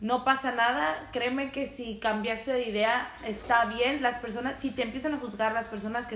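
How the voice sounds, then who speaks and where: Over noticeable background noise and audible room echo, a woman talks at a moderate pace with hardly any pauses, her fairly high voice keeping a fairly even intonation. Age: 20s. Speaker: podcast co-host. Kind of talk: casual chat.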